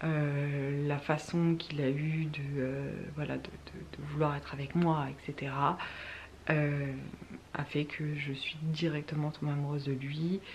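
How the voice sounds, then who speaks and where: A soft-spoken woman, very deep and low in pitch, very slow and monotone in her flat intonation. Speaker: youtuber. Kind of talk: casual chat. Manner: halting.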